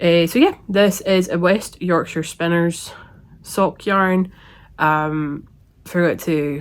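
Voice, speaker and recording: The recording is very clean, with a silent background. A woman speaks at a fairly low pitch in a Scottish accent. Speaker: knitting podcaster. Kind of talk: casual talk to camera.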